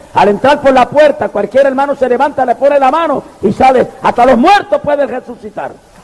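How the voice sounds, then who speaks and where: A man's extremely high-pitched, animated voice at a fairly quick pace, with ordinary pitch variation and noticeable background noise. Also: hardly any pauses. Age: 60s. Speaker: pastor. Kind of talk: sermon.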